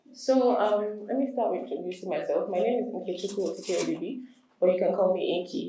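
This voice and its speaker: With audible room echo around her, a woman speaks at a fairly quick pace with lively intonation. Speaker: entertainment lawyer. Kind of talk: lecture.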